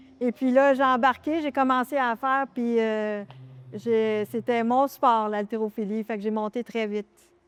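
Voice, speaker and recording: A woman with a Quebec accent and a fairly high pitch, in a dry, close sound with no echo against a quiet background. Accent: Québécois French. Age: 60s. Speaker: masters weightlifter. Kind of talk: interview. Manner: hesitant, many fillers.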